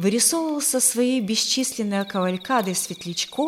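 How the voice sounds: The speaker uses a natural reading voice with lively intonation.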